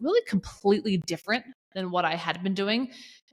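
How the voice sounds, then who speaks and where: A woman talks with a Southern US accent. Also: very clean recording, silent background. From US South, Georgia. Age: 30s. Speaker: accountability coach. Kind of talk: podcast interview. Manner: casual, chatty.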